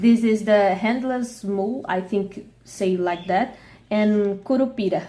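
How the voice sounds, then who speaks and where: Speaking with a Portuguese accent, a woman uses a dark, mellow tone at a medium pitch, a fairly slow pace and fairly even intonation. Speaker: vlogger. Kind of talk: casual vlog while eating. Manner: halting.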